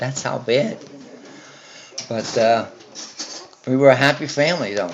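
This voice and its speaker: Against noticeable background noise, a man with an American accent talks at a moderate pace in a medium pitch with lively intonation. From Newark, New Jersey. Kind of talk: interview answer. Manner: casual, hesitant.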